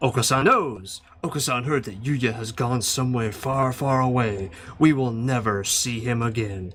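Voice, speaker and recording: This man uses a put-on character voice at a medium pitch. His pace is moderate. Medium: fan dub. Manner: refers to himself in third person.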